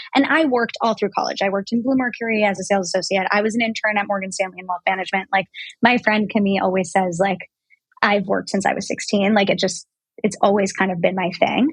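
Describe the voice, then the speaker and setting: A woman talks at a very fast pace in a somewhat breathy voice. Her pitch varies in an ordinary way. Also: medium pitch for a woman. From New York City. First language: French. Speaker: brand founder. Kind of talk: interview. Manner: casual, many fillers.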